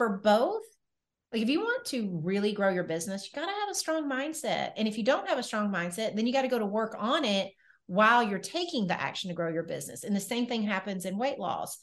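Against a quiet background, a woman with a Southern US accent and fairly high pitch speaks fairly quickly, her pitch swinging very widely. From Nashville, Tennessee. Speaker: weight loss coach and entrepreneur. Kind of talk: podcast interview. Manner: animated.

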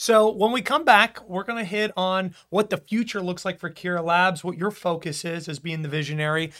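A man with a high, bright, sharp voice talks at a moderate pace with ordinary pitch variation and hardly any pauses, in a very clean recording with a silent background. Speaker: union podcast host. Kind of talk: casual interview. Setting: studio.

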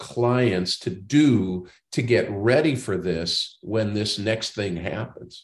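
A somewhat breathy man at a very slow pace, with hardly any pauses and a quiet background. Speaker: podcast host and banking consultant. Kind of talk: interview.

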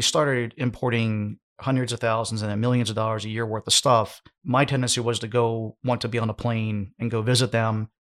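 A man's unremarkable speaking voice, medium in pitch, with an American accent, fairly quick and fairly even in intonation, on a very clean recording with a silent background. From United States. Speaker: e-commerce business owner and podcaster. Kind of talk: podcast interview.

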